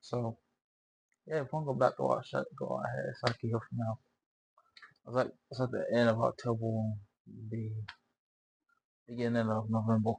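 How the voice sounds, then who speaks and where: Recorded dry and close with no echo, a somewhat breathy man speaks at a fairly quick pace and medium pitch, with ordinary pitch variation and long, frequent pauses. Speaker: reaction video creator. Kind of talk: casual chat. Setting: wearing a headset.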